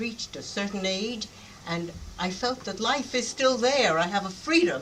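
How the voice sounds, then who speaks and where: A woman's lively intonation at a moderate pace, over noticeable background noise. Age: 80s+. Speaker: style icon, retired magazine worker. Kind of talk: panel Q&A after screening.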